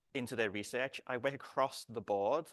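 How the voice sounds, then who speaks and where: The sound is dry and close, with no echo, against a quiet background. Speech moves at a moderate pace. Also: man. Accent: British. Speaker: research computing director and software developer. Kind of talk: conference talk. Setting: conference room, lapel mic. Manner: halting, frequent repetitions and false starts.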